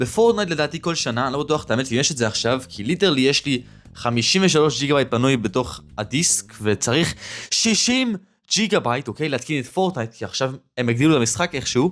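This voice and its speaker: A man with a strong Israeli accent, very fast and lively in intonation, on a very clean recording with a silent background. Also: fairly high pitch for a man. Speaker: YouTuber. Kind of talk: casual vlog monologue.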